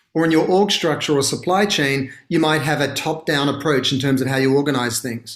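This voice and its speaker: At a fairly quick pace, the speaker talks with an American accent and hardly any pauses. Pitch variation is ordinary. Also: man, fairly high pitch for a man. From Australia. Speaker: brand consultancy founder. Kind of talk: interview. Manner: articulate, fluent.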